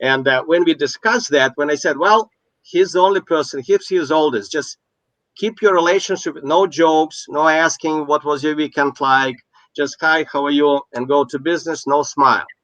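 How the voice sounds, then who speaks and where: A man with a non-native accent talks at a moderate pace, dry and close with no echo, against a quiet background. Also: fairly high pitch for a man, ordinary pitch variation. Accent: noticeable foreign. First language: not English. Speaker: business coach. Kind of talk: casual chat. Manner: halting.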